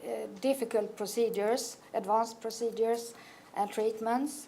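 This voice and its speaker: A woman speaks with a Swedish accent in a dark, mellow tone. Her intonation is monotone and flat. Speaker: oncology nurse. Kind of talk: conference presentation. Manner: halting.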